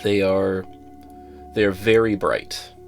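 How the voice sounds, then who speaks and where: With music in the background, a man speaks at a moderate pace, his fairly low pitch carrying lively intonation. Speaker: headphone reviewer. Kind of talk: casual talk to camera.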